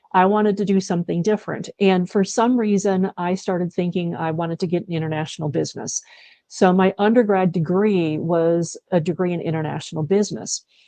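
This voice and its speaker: Dry and close with no echo, a woman speaks at a medium pitch with an Upper Midwest accent. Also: ordinary pitch variation, fairly quick pace. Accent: Upper Midwest American. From US Midwest, Wisconsin. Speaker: leadership consultant. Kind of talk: interview.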